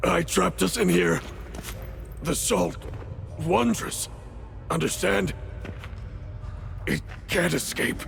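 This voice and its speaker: Using a put-on character voice, a man talks at a fairly slow pace with long, frequent pauses. Clear background noise runs underneath. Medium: video game. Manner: halting, broken phrases.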